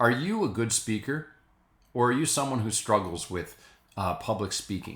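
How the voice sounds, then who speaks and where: The man has an unremarkable speaking voice at medium pitch, with lively intonation and a moderate pace. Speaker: priest. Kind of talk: spoken reflection to camera.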